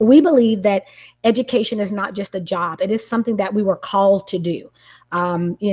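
Somewhat breathy, a woman talks at a moderate pace with a medium pitch. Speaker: educator and parent. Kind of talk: video-call book study discussion.

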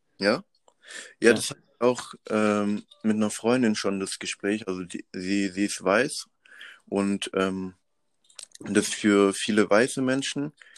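The speech comes very slowly with long, frequent pauses, in a very clean recording with a silent background and a dry, close sound with no echo. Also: man, fairly low pitch for a man, fairly even intonation. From Madagascar. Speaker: student activist. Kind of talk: casual interview.

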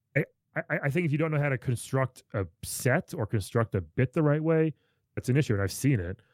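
An ordinary speaking voice: a man with an American accent, medium pitch and lively intonation, at a fairly quick pace. The recording is very clean, with a silent background and a dry, close sound with no echo. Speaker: comedian. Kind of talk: casual chat.

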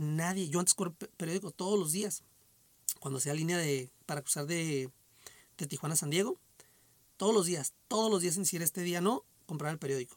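A man's high-pitched voice at a moderate pace, with ordinary pitch variation and long, frequent pauses, in a dry, close sound with no echo. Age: 40s. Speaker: podcast host. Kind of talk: casual solo monologue. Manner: hesitant, many repetitions and fillers. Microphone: echo on the microphone.

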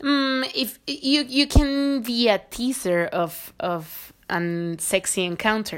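A woman's high voice with a Spanish accent, very wide pitch swings and a very slow pace with hardly any pauses, on a very clean recording with a silent background. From Mexico, Querétaro. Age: 20s. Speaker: visual artist. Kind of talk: casual chat.

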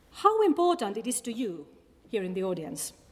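A woman with a Finnish accent. Her voice sits fairly high. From Finland. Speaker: academic researcher on populism. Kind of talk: public talk; audience Q&A. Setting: stage with audience. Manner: halting.

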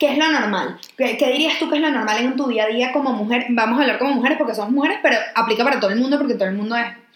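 Amid audible room echo and noticeable background noise, a woman speaks very fast at a high pitch, with very even loudness and ordinary pitch variation. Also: hardly any pauses. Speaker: podcast co-host. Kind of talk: casual chat.

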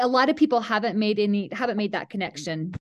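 In a Utah accent, a woman speaks with ordinary pitch variation against a quiet background. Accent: Utah American. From central Utah (Mount Pleasant). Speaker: high school athletic director. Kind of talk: podcast interview.

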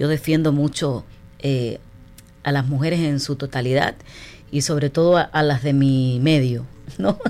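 A woman with a very deep, low, dark and mellow voice talks at a fairly slow pace with fairly even intonation. She leaves long, frequent pauses in a very clean recording with a silent background. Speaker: radio host. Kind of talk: radio interview.

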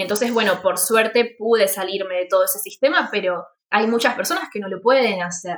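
Speaking at a fairly quick pace, a woman uses a plain, everyday voice at a medium pitch with ordinary pitch variation. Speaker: podcast host, freelance art teacher. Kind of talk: casual chat.

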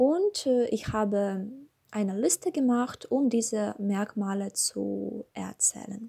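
At a very slow pace, a woman speaks in a Russian accent. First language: Russian (speaking German). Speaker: language learner. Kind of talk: scripted monologue. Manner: halting.

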